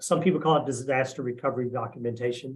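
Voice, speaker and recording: A somewhat breathy man at a fairly quick pace. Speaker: RPA engineer, presenter. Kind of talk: webinar presentation. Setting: live online stream. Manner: fast.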